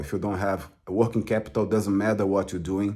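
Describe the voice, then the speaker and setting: A man speaks with a Portuguese accent at a very deep, low pitch. His tone is dark and mellow. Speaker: crypto trader and author. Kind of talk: casual explanatory talk to camera. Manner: halting, many fillers.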